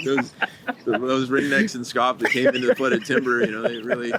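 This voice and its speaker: A man with an American accent, medium pitch and a moderate pace, over noticeable background noise. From US Midwest, Missouri. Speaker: conservation group staff, podcast co-host. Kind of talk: casual chat.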